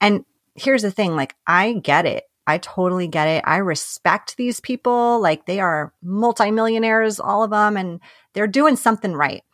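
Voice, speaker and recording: A woman speaks at a medium pitch with lively intonation and a New York accent, at a moderate pace. The sound is dry and close with no echo, a very clean recording with a silent background. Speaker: life and business coach. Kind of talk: casual chat.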